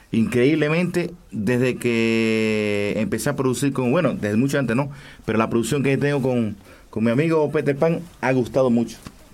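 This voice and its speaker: This man has a plain, everyday voice at a medium pitch, with ordinary pitch variation. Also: moderate pace. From Cuba, Camagüey. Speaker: singer. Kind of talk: radio interview. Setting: studio.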